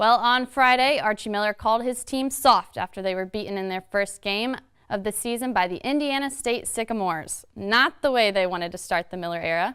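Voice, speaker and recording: A woman's fairly high voice, a normal speaking voice, at a fairly quick pace with hardly any pauses and ordinary pitch variation, in a very clean recording with a silent background. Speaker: sports broadcaster, student. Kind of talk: news anchor sports read.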